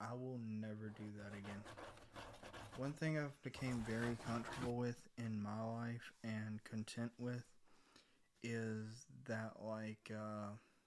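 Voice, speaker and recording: Soft-spoken and monotone, with flat intonation, the speaker goes at a very slow pace. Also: man, medium pitch for a man. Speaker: ASMR content creator. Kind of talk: casual rambling talk to camera.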